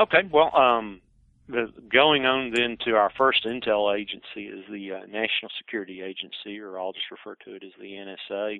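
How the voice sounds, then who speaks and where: A man speaks with a fairly low pitch. His loudness swings widely. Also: ordinary pitch variation. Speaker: presenter on intelligence history; air force veteran. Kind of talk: lecture. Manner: fast.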